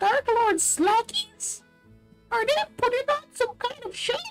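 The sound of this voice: A put-on character voice, squeaky and extremely high in pitch, moves at a fairly slow pace over faint music in the background.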